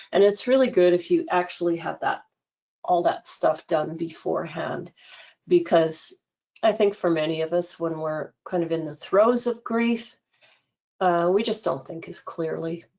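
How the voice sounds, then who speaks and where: In a normal speaking voice, a woman talks at a fairly slow pace with a fairly low pitch and ordinary pitch variation. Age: 60s. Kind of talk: webinar presentation. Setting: online webinar.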